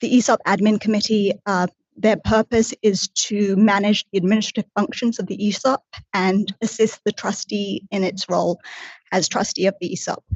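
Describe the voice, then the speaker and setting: Somewhat breathy, a woman speaks at a medium pitch and moderate pace with fairly even intonation. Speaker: casino executive and in-house lawyer. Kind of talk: formal testimony before a regulatory board.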